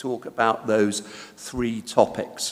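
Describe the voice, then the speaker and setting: This man has a British accent. He speaks at a very slow pace. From Britain. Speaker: conference speaker. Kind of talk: lecture. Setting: conference hall. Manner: hesitant, many fillers.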